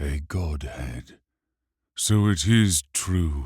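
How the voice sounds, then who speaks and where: A man puts on a character voice with a very deep, low pitch and lively intonation. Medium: read story.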